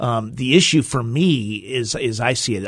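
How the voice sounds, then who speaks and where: Over a quiet background, a man speaks at a medium pitch with ordinary pitch variation. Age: 50s. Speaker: school superintendent. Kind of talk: interview.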